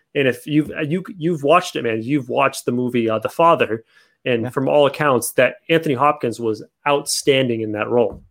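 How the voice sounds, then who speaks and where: Over a very clean recording with a silent background, a man uses an ordinary speaking voice, fairly high in pitch, with ordinary pitch variation at a moderate pace. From Toronto, Canada. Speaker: podcast host. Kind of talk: casual chat.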